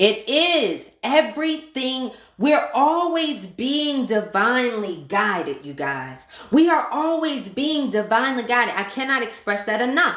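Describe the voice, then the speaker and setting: The voice is loud and passionate, animated, with lively intonation at a fairly slow pace. Room echo is audible. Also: woman, high pitch for a woman. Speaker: manifestation and mindset coach. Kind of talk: live stream talk to viewers. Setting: live stream.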